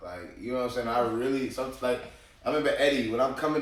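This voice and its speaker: The voice runs at a very fast pace with monotone, flat intonation, set against noticeable background noise and audible room echo. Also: man. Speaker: podcast host. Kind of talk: casual chat. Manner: loud.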